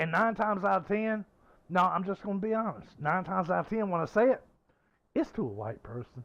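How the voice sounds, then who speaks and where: Over a quiet background, a man with a Southern US accent talks very fast in a high voice. His intonation is lively and his tone animated. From US South. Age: 50s. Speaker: gaming streamer. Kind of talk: casual chat.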